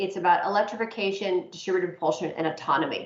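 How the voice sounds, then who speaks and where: A woman talks very fast at a medium pitch. Noticeable background noise runs under her voice. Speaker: aviation investor and financier. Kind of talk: presentation to a working group.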